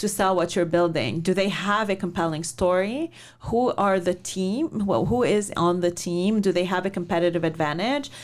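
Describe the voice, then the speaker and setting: A woman's unremarkable speaking voice at a medium pitch and moderate pace, with ordinary pitch variation and very even loudness. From Lebanon, then Canada. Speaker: venture investor. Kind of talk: interview.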